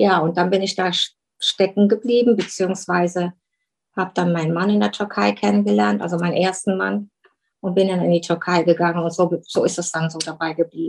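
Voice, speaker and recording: Her pitch is fairly low for a woman, with very wide swings. She speaks at a fairly quick pace. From Germany. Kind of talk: interview. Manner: halting.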